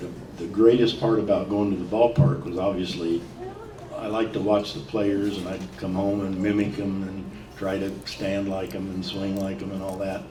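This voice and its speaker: A man with a Midwestern American accent talks at a moderate pace and fairly low pitch, his intonation fairly even. Noticeable background noise and audible room echo are present. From US Midwest, Decatur, Illinois. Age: 70s. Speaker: former pro baseball player. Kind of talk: interview before live audience.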